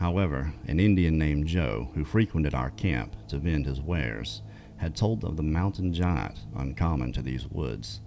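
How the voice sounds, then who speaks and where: With music in the background, a man speaks at a very deep, low pitch and a moderate pace with lively intonation. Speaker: podcast host and storyteller. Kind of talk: story narration, reading out listener encounter accounts. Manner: conversational, narrating a historical account.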